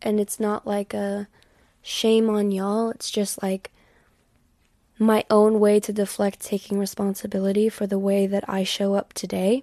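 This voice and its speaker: A woman with an American accent speaks in a dark, mellow tone with monotone, flat intonation. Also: medium pitch for a woman, moderate pace. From US South. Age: 20s. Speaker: podcast host, spiritual reader. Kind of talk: solo podcast monologue. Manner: casual, frequent fillers.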